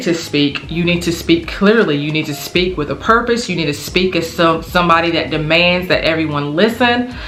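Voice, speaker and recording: In mumbling speech at a moderate pace, a woman talks at a fairly low pitch with ordinary pitch variation. Audible room echo and noticeable background noise surround her voice. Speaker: teacher, lifestyle vlogger. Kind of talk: casual advice monologue. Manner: tends to mumble.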